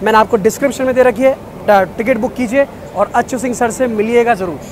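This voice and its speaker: At a moderate pace, the voice sounds dry with no echo, over noticeable background noise. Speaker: travel vlogger. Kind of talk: casual vlog chat and interview questions. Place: station. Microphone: phone near.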